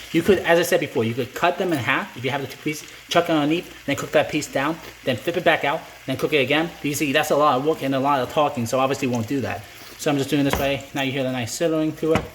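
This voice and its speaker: This man's voice sits fairly high and moves at a very fast pace. His intonation stays fairly even over noticeable background noise. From Greece. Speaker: chef. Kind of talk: cooking tutorial. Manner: halting, many fillers and restarts; casual, chatty.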